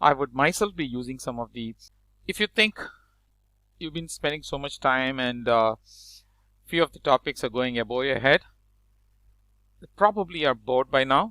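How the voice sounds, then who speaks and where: Bright and sharp in tone, a man speaks at a medium pitch and a moderate pace. The recording is very clean and dry, with a close sound, no echo and a silent background. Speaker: programming teacher. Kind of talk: lecture. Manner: hesitant.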